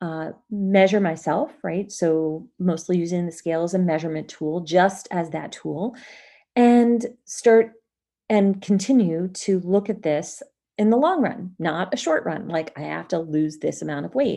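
Over a quiet background, a woman with a medium pitch talks at a fairly slow pace in a dark, mellow tone with ordinary pitch variation. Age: 50s. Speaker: business coach and podcast host. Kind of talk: solo podcast monologue.

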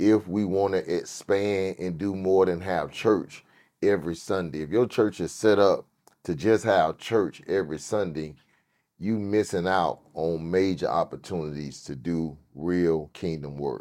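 Against a quiet background, a man with an American accent talks fairly slowly in a very deep, low pitch, his tone dark and mellow, with ordinary pitch variation. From US South, Miami, Florida. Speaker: pastor. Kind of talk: casual chat.

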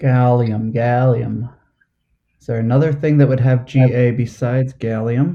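Talking fairly slowly with an American accent, a man has a medium-pitched, dark, mellow voice, fairly even intonation and big swings in loudness. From New Jersey. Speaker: trivia host, quiz contestant. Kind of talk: quiz game play over video call. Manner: halting, many fillers.

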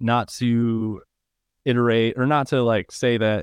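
A man speaks at medium pitch with an American accent. His voice is unremarkable, with ordinary pitch variation. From Michigan, Downriver Detroit area. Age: 20s. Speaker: podcast host and high school coach. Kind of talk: casual chat.

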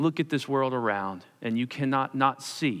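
In an American accent, a man with a plain, everyday voice speaks at a medium pitch and moderate pace with ordinary pitch variation. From Pennsylvania, US (Perkasie). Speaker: pastor. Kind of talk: sermon.

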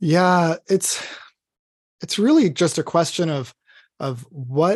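Somewhat breathy, a man talks at a very slow pace, recorded dry and close with no echo against a quiet background. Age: 30s. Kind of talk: podcast interview.

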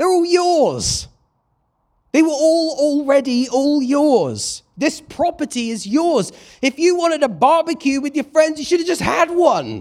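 A man with a British accent and an extremely high pitch, fairly slow and with ordinary pitch variation, on a very clean recording with a silent background. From Britain. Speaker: preacher. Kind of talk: sermon.

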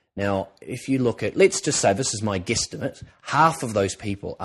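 A man talks fairly quickly with an Australian accent. His pitch varies in an ordinary way, and the background is quiet. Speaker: TV presenter and drama school lecturer. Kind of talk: educational podcast talk. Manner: conversational with many filler words.

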